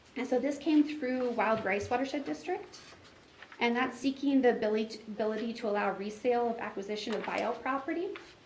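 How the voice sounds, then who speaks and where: A high-pitched woman's voice amid audible room echo and noticeable background noise. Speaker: watershed district staff presenter. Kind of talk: meeting presentation. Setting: board meeting. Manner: fast.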